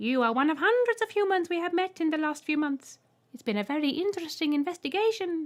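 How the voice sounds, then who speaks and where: A woman puts on a character voice at an extremely high pitch. It comes out shrill and squeaky at a very fast pace. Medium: read story. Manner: polite, holding back giggles.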